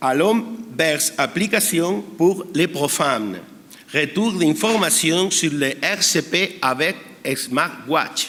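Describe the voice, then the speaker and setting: A man speaks at a very slow pace with very even loudness and fairly high pitch. Background noise is noticeable. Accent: Spanish. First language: Spanish (speaking French). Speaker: emergency physician. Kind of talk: conference talk. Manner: halting.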